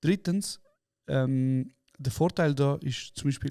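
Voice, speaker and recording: Dark, mellow male voice pitched fairly high. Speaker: podcast co-host. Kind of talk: casual chat.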